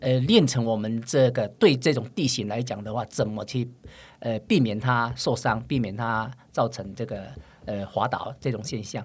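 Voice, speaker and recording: Recorded very cleanly against a silent background, a man at medium pitch sounds somewhat breathy, speaking at a moderate pace with fairly even intonation. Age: 50s. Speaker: trail runner. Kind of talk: interview chat.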